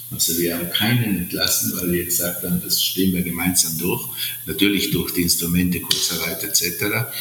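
A man with a very deep, low pitch talks at a moderate pace with ordinary pitch variation. Room echo is audible and background noise is noticeable. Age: 60s. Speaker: hotel entrepreneur. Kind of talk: interview. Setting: remote call from Sardinia. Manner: halting, many fillers.

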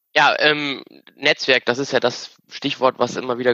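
The speech moves at a moderate pace in a flat, monotone intonation. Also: man. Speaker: engineer. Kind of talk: casual chat.

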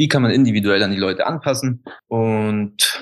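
A man with an unremarkable speaking voice talks at a fairly low pitch with ordinary pitch variation against a quiet background. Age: 30s. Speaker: alkaline bath practitioner, former golf instructor. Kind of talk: interview.

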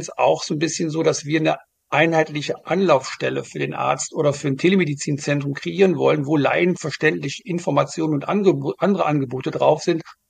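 A man with a fairly high pitch talks at a moderate pace, his fairly even intonation marked by vocal fry. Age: 50s. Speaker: start-up founder, former pharma manager. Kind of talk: interview. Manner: hesitant, many fillers.

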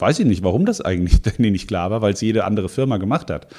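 The speaker is a man. He has a dark, mellow tone. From Hesse, Offenbach district near Frankfurt. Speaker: mayoral candidate. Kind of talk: political interview. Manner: hesitant fillers.

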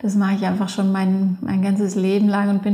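A woman is speaking at a medium pitch. Her pace is moderate. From Allgäu, southern Germany. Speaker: freeskier and filmmaker. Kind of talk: interview. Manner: halting, many fillers.

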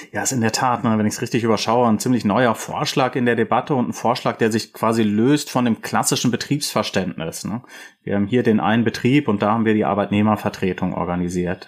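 With an ordinary speaking voice, a man speaks at medium pitch and a fairly quick pace, with ordinary pitch variation, in a very clean recording with a silent background. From Rhineland, Germany. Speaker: podcast host, political scientist. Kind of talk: interview.

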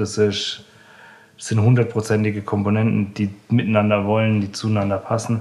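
Here a man speaks with a fairly low pitch. His intonation is monotone and flat, at a moderate pace. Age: 20s. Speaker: chef. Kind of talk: interview. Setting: in the restaurant. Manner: halting.

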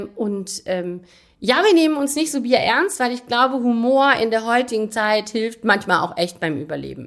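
A plain, everyday voice with lively intonation at a moderate pace. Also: woman, fairly high pitch for a woman. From Rhineland, Aachen. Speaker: mayor. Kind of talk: interview. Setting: town hall office.

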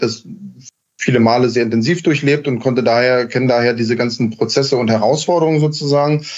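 This man uses an ordinary speaking voice, pitched at a medium level with ordinary pitch variation, and keeps a moderate pace. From Berlin, Germany. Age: 30s. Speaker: heating company founder and master installer. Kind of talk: podcast interview. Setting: remote call.

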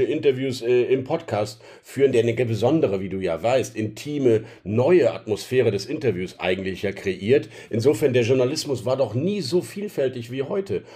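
With lively intonation, a man talks at a moderate pace in a medium pitch, his tone dark and mellow and somewhat breathy. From Rhineland, Germany. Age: 40s. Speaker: newspaper editor-in-chief. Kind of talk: interview. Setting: home office.

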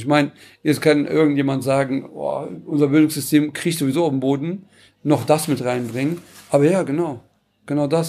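Fairly high-pitched for a man, his dark, mellow tone comes at a fairly quick pace. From Cologne-Porz, Germany, Turkish family. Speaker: panel guest. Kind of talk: panel discussion.

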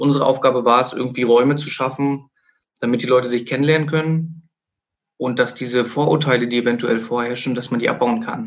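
Talking at a fairly quick pace, a man has an unremarkable speaking voice, medium pitch, and fairly even intonation. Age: 30s. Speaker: sports club director and coach. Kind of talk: interview.

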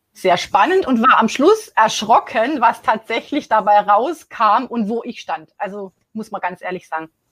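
Her medium-pitched, somewhat breathy voice sounds dry and close with no echo. This woman speaks at a moderate pace. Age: 40s. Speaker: accountant. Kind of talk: interview testimony. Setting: live online interview. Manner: hesitant, many fillers.

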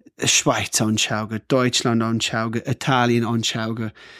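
A man speaks with an Australian accent at a medium pitch, very slowly and in a flat monotone. The recording is very clean, with a silent background and a dry, close sound with no echo. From rural Australia (Cooma). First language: English (speaking German). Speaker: hotel owner. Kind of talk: casual chat.

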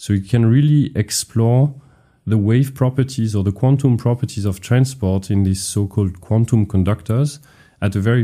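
The speaker talks at a fairly quick pace in a dark, mellow tone that is somewhat breathy. Pitch varies in an ordinary way. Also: man. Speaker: physics professor. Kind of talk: explanatory interview talk.

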